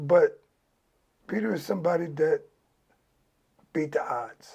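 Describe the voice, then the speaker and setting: Somewhat breathy, a man's voice comes through with an American accent. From Los Angeles, California. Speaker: former gang member. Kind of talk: interview.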